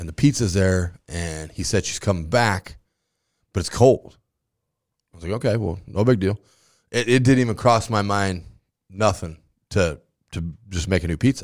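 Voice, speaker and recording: Long, frequent pauses break up a moderate pace in an American accent with ordinary pitch variation, on a very clean recording with a silent background. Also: man, fairly low pitch for a man. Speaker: high school football coach. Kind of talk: casual chat. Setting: studio. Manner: loud.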